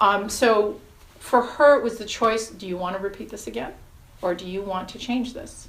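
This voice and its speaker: In a room with audible echo, a woman with an American accent and a fairly high pitch shows ordinary pitch variation and big swings in loudness. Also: moderate pace. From New York. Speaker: hypnotherapist. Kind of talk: interview.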